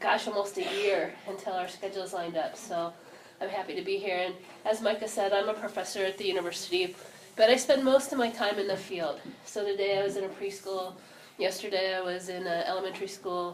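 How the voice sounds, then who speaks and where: Speaking fairly quickly, a woman keeps a medium pitch and fairly even intonation. Audible room echo and noticeable background noise surround her voice. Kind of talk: talk to an audience. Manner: laid back.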